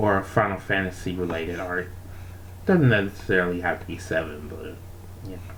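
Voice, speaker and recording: A quiet voice at a fairly quick pace. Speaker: art streamer. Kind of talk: casual chat. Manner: quiet, kept down so others can sleep.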